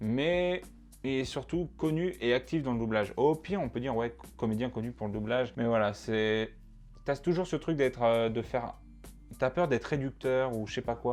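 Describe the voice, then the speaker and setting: Lively intonation carries the speech at a moderate pace, with music playing in the background. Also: man. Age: 20s. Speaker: student, YouTuber about dubbing. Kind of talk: casual talk to camera. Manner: casual, hesitant with fillers.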